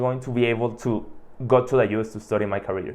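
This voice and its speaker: A man with a Mexican accent at medium pitch and a fairly quick pace. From Mexico, Hermosillo. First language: Spanish. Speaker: podcast host. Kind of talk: monologue. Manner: casual, filler-heavy.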